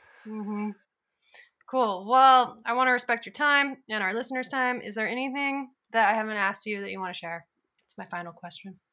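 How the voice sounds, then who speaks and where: A bright, sharp tone at a fairly quick pace, with big swings in loudness and ordinary pitch variation. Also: woman, fairly high pitch for a woman. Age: 30s. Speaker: podcast host and creative director. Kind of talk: casual interview chat. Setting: remote recording from a cabin.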